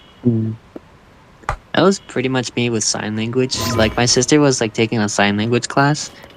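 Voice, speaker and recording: A man at a medium pitch with ordinary pitch variation, speaking at a moderate pace over noticeable background noise. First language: Spanish. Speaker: gamer. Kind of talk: casual chat.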